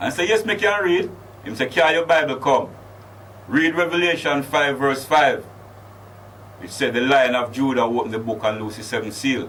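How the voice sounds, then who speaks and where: With audible room echo around him, a man speaks at a fairly quick pace in a fairly high pitch, using lively intonation broken by long, frequent pauses. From Jamaica, Clarendon, then London. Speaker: Rastafari chaplain. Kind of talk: interview.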